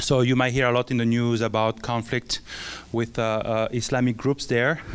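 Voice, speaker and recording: A man with a French accent, talking at a fairly quick pace over noticeable background noise. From France. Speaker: missionary. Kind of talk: church mission presentation. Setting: church with audience. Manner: halting, many filler sounds.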